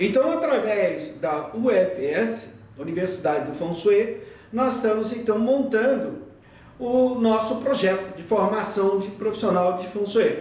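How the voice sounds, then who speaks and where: With noticeable background noise and audible room echo, a man with a high pitch speaks fairly slowly with lively intonation. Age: 60s. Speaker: feng shui teacher. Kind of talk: lecture. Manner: halting.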